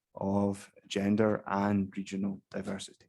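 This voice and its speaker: A man's dark, mellow voice, fairly low in pitch, on a very clean recording with a silent background. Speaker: keynote speaker on investment law policy. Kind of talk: conference keynote talk. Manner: soft-spoken; hesitant, many fillers.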